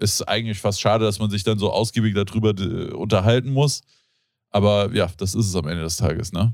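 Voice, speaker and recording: In a very clean recording with a silent background, a man with an ordinary speaking voice talks at a fairly quick pace, his pitch fairly low with ordinary pitch variation. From Germany, Hesse (Rodgau). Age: 30s. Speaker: podcast host. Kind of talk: casual chat.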